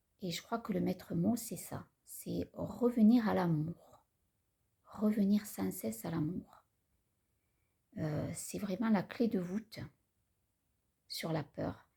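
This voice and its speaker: A woman speaks in a calm tone with vocal fry, at a very slow pace. Her speech has long, frequent pauses. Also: medium pitch for a woman. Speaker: spiritual vlogger. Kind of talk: personal vlog talk. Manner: halting.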